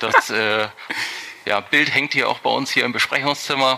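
A man with fairly even intonation, amid noticeable background noise. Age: 30s. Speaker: tax advisor. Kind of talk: podcast interview. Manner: hesitant, many fillers.

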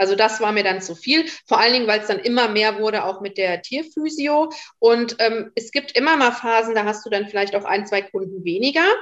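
With a fairly high pitch and ordinary pitch variation, a woman talks at a fairly quick pace in a normal speaking voice. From Westerwald, western Germany. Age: 30s. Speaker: animal physiotherapist. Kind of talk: casual interview.

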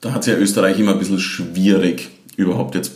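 Over noticeable background noise and audible room echo, a man talks at a very fast pace with a slight Styrian accent and a fairly low pitch. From Austria, southern Styria (Leibnitz district). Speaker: Eurovision fan club event organiser. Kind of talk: casual chat.

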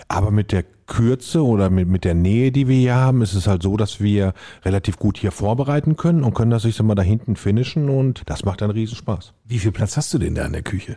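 A man speaks at a fairly quick pace in a fairly low pitch, his tone dark and mellow with ordinary pitch variation. The recording is very clean, with a silent background. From Lippe, Germany. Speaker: chef and restaurateur. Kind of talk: casual chat.

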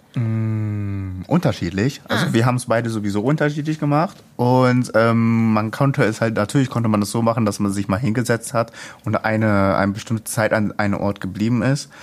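A medium-pitched man talks at a fairly quick pace with hardly any pauses, ordinary pitch variation and very even loudness, over noticeable background noise. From Ruhr area, Duisburg. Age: young. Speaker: youth project participant. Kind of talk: casual interview.

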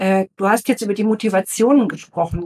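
Her pitch varies in an ordinary way as a woman, using a plain, everyday voice, keeps a moderate tempo. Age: 50s. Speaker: guest interviewer, former corporate PR manager. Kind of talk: interview questions. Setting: studio, seated at a table together.

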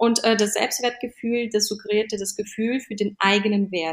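A woman has an unremarkable speaking voice, fairly high in pitch. She speaks at a moderate pace with fairly even intonation. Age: 30s. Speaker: fashion stylist and image coach. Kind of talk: casual interview.

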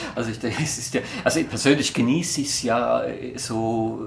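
Over noticeable background noise and audible room echo, a man talks at a medium pitch and a moderate pace with ordinary pitch variation. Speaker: podcast host, business comedian. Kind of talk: scripted monologue; casual interview chat.

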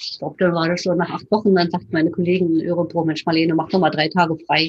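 This woman's voice sits fairly low in pitch and comes out somewhat breathy, with a monotone, flat intonation. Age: 60s. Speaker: retired physician. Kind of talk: interview.

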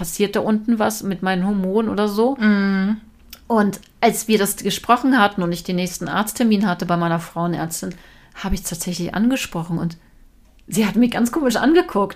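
In an unremarkable speaking voice, a woman talks at a medium pitch and moderate pace with ordinary pitch variation. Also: very clean recording, silent background. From Lower Saxony, Germany (Braunschweig). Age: 40s. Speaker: TV presenter. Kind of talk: casual interview chat. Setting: at home in her kitchen.

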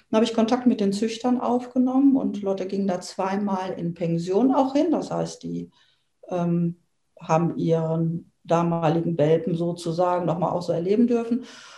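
Somewhat breathy with a dark, mellow tone, a woman speaks at a moderate pace. Her medium pitch carries lively intonation. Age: 50s. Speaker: dog owner. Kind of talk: interview. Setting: in person, same room. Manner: hesitant, many fillers.

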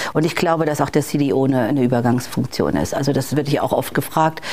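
The speaker is a woman with ordinary pitch variation. She moves at a fairly quick pace. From Bavaria, Germany. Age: 50s. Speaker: corporate digital executive. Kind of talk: interview. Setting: in-person recording in Hamburg.

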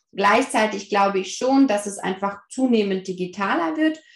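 Somewhat breathy, medium-pitched speech from a woman. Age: 30s. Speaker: family counselor and parent coach. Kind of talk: casual interview.

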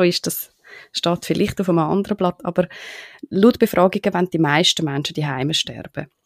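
A woman with a normal speaking voice and fairly low pitch talks at a moderate pace with ordinary pitch variation, in a dry, close sound with no echo. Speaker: podcast host. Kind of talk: interview.

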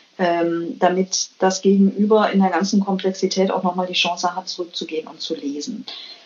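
Woman at a medium pitch with fairly even intonation and big swings in loudness, moderate pace and hardly any pauses, amid noticeable background noise. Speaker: biologist and business manager. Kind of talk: interview. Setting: remote call from Copenhagen. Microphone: weak connection signal.

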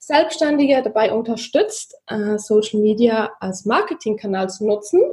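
A woman's somewhat breathy, fairly high voice with lively intonation and a slight Swiss German accent. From Switzerland, Zurich. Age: 30s. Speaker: social media marketing consultant. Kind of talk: podcast interview.

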